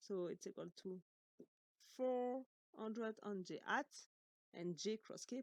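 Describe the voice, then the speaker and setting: A woman at a fairly slow pace with ordinary pitch variation, in a dry, close sound with no echo. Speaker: engineering instructor. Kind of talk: lecture.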